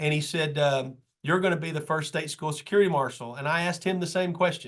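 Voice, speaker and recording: A man with a Kentucky accent speaks at a fairly quick pace and a fairly high pitch, with ordinary pitch variation. The background is quiet. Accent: Kentucky Southern US. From Kentucky, Madison County. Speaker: state school safety official and trainer. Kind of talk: training presentation. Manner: fast; casual, conversational.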